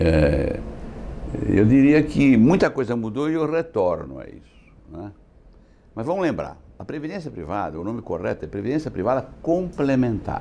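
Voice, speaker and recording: At a moderate pace, a man with a medium pitch speaks with very wide pitch swings and big swings in loudness. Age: 70s. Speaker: insurance executive. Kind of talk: interview.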